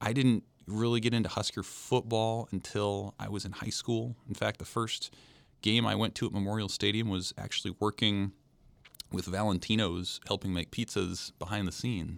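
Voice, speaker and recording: A normal speaking voice with an American accent, fairly even intonation and a moderate pace. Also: man. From Nebraska, US Midwest. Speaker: sports writer. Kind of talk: casual interview.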